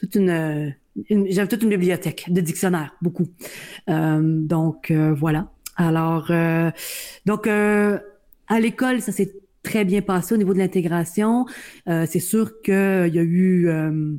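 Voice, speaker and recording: A woman talks at a very slow pace with long, frequent pauses and very even loudness. Her voice is fairly low in pitch, with a dark, mellow tone and ordinary pitch variation. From Ontario, Niagara peninsula (Welland). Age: 40s. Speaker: blind university employee and advocate. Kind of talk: interview.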